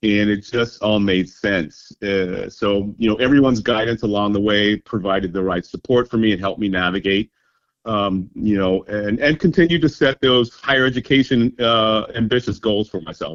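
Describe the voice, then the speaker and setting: Using a normal speaking voice with an American accent, a man speaks at a moderate pace with hardly any pauses, his fairly low pitch showing ordinary variation. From Kansas, Topeka. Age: 60s. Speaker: university graduate. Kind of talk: interview.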